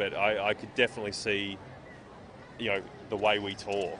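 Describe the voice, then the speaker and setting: With noticeable background noise, a man talks in an Australian accent at a fairly low pitch. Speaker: comic book writer and artist. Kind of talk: interview. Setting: comic convention. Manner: hesitant, many fillers and repeats.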